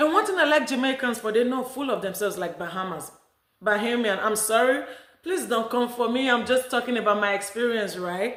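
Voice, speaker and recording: A fairly high-pitched woman with a Nigerian accent, audible room echo around her. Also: ordinary pitch variation, fairly quick pace. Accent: Nigerian accent, still noticeable. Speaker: vlogger. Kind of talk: casual vlog talk.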